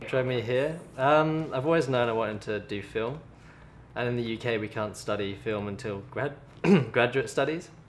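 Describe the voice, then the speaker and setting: Speaking in a British accent, a man at medium pitch keeps a moderate pace with ordinary pitch variation. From England. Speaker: film student. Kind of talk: interview answer.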